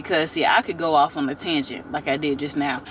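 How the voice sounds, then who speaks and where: Noticeable background noise accompanies the voice of a woman. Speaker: YouTube TV reviewer. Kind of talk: casual vlog commentary. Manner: animated, conversational.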